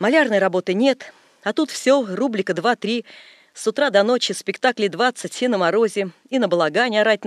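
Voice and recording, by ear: Ordinary pitch variation from a natural voice reading aloud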